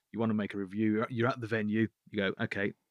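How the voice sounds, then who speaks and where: A man with a Birmingham accent and fairly low pitch speaks very fast in a flat monotone. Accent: Birmingham (Brummie) English. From Birmingham, England. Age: 40s. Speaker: app founder. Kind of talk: interview. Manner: halting, repetitive.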